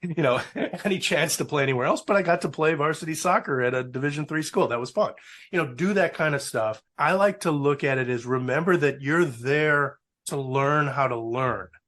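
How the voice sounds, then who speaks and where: Against a quiet background, a man with an American accent and an ordinary speaking voice talks at a fairly quick pace, his fairly high pitch varying in an ordinary way. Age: 60s. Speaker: alumnus, public affairs professional. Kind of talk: interview. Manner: casual.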